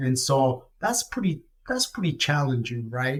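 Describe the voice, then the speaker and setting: A man speaks in a fairly high, somewhat breathy voice with ordinary pitch variation. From Ecuador. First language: Spanish. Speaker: retired corporate finance executive. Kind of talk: podcast interview. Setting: studio. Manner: soft-spoken.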